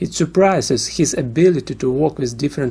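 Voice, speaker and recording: A man speaks at a moderate pace with a Russian accent. His tone is dark and mellow. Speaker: music reviewer. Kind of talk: album review.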